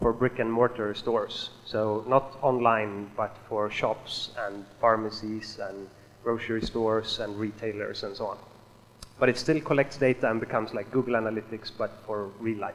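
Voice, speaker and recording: A man speaks with a Swedish accent and fairly even intonation. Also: medium pitch for a man, moderate pace. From Sweden. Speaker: software developer. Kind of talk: conference talk.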